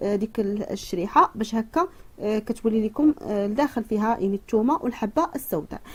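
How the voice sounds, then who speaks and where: Lively in intonation, a woman talks at a fairly quick pace in a fairly high pitch. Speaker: cooking and home remedy youtuber. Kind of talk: tutorial. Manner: halting, many fillers.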